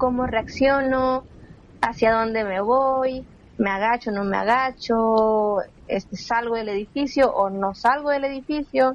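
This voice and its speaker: A woman speaks at a fairly slow pace in an ordinary speaking voice, fairly high in pitch, with fairly even intonation. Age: 20s. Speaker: civil protection and emergency specialist. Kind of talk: interview. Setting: remote recording.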